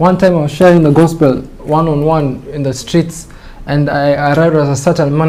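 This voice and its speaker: Noticeable background noise fills the recording. Through it, a man talks with fairly even intonation. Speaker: preacher. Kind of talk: sermon.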